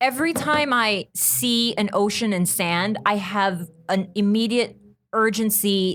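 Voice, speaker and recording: Her pace is fairly slow and her loudness very even. The woman's medium-pitched voice moves with lively intonation. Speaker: podcast guest. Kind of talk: casual chat. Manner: soothing.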